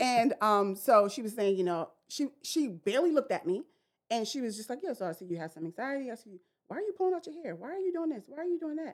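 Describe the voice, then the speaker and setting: A woman with a New York accent talks at a very fast pace in a high pitch. Her pitch swings very widely. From Brooklyn, New York. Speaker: therapist. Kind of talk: casual chat.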